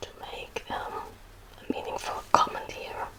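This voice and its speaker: Whispering in a German accent, a woman is heard over noticeable background noise. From Germany. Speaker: ASMR creator. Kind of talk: Q&A chat to viewers, ASMR. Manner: soft-spoken, whispery; hesitant, many fillers.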